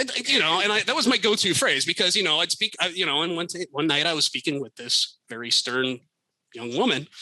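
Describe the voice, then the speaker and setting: A man with an American accent talks at a fairly quick pace and a high pitch, swinging very widely in pitch. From United States. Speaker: former circus touring technical crew member. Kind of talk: podcast interview storytelling. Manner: casual, hesitant with many fillers.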